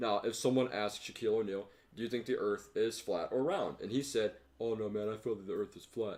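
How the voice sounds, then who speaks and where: This man has a normal speaking voice at medium pitch, talking at a fairly quick pace with fairly even intonation. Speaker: podcast co-host. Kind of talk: casual chat.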